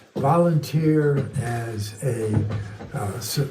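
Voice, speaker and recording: A man's medium-pitched voice at a very slow pace, with ordinary pitch variation, audible room echo and music in the background. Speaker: sobriety volunteer speaker. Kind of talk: testimony. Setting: studio.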